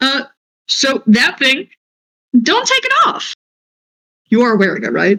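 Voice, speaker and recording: A put-on character voice with a high pitch moves at a fairly slow pace, broken by long, frequent pauses. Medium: actual play. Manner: crude, brash, slangy.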